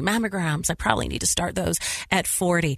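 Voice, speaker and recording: A woman talks fairly quickly with lively intonation. Hers is an unremarkable speaking voice, fairly low in pitch. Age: 50s. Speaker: radio host. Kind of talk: interview.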